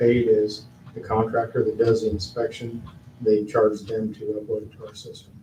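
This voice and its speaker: A man speaks at medium pitch. The room echo is audible and background noise is noticeable. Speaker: town staff member. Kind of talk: council meeting report.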